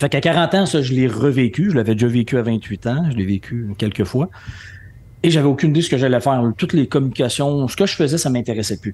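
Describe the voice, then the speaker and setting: The man speaks at a very fast pace with lively intonation. His pitch sits in the medium range. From Quebec City, Quebec. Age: 50s. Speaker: entrepreneur and speaker. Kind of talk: podcast interview.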